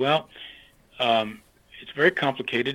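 This is a man speaking. He has an American accent. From western Pennsylvania, US. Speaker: retired church leader. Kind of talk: interview. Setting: phone call. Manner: halting.

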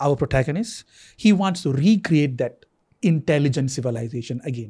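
A man's fairly high, dark, mellow and somewhat breathy voice at a moderate pace, with lively intonation, in a very clean recording with a silent background. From Singapore. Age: 40s. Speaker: TV writer-director. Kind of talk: casual chat.

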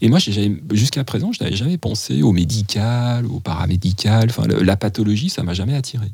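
Fairly low-pitched, a man speaks in an ordinary speaking voice at a fairly quick pace. His intonation is lively, with hardly any pauses. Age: 50s. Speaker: midwife. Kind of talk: interview conversation.

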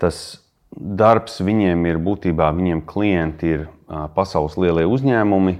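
With a very deep, low pitch, a man speaks using ordinary pitch variation. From Australia and London, Latvian diaspora family. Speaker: venture capital investor. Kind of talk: interview. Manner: halting with many fillers.

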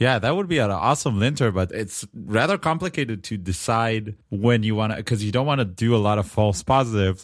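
This man talks fairly quickly, with hardly any pauses and a medium pitch. His intonation is lively, in an Israeli accent. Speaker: tech podcast co-host. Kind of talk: casual chat. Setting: remote call.

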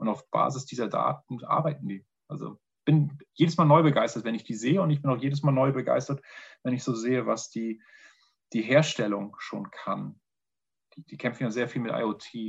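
At a moderate pace, the somewhat breathy voice shows ordinary pitch variation and long, frequent pauses over a quiet background. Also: man, medium pitch for a man. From northern Germany. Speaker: pharma innovation manager. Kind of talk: interview.

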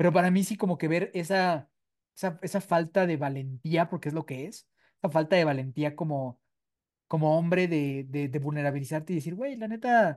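The man's voice has a dark, mellow tone. He moves along at a fairly quick pace. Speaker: podcast co-host, recovering addict. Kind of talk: casual chat.

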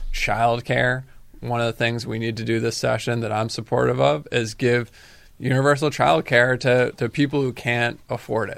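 A man with an American accent speaks at a moderate pace and medium pitch. He has a normal speaking voice and ordinary pitch variation. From Massachusetts, Cape Cod (Falmouth). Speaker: state politician. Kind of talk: radio interview.

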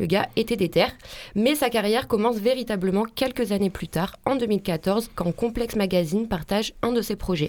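Speaking at a moderate pace, a woman uses a plain, everyday voice with a medium pitch and ordinary pitch variation. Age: young. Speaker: radio columnist. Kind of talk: radio segment.

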